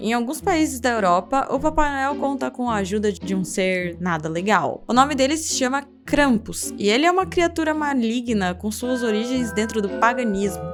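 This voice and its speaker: A woman at a moderate pace with lively intonation and hardly any pauses, music in the background. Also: fairly high pitch for a woman. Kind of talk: folklore and curiosity narration to camera.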